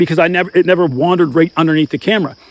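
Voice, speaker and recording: This man talks very fast in an animated tone, his pitch high for a man, and the sound is dry and close with no echo. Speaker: outdoor gear and hunting youtuber. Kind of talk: tutorial.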